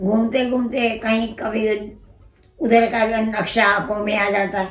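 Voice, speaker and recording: Flat, monotone intonation is heard over background music, with audible room echo. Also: woman, fairly high pitch for a woman. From Punjab, Lahore (Pakistan). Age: 80s+. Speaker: partition survivor. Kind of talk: oral history interview. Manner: halting.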